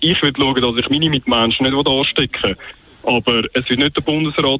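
A man speaks with a Swiss accent at a medium pitch. His intonation is fairly even, and there is noticeable background noise. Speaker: radio caller. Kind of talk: call-in talk radio. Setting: phone call.

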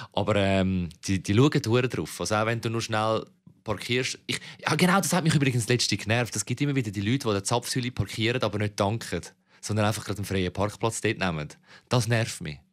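A man with a Zurich accent speaks at a fairly quick pace, fairly low in pitch with ordinary variation. The recording is very clean, with a silent background. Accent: Zurich Swiss German. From Switzerland, Zurich city (Kreis 11). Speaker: podcast co-host. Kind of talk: casual chat.

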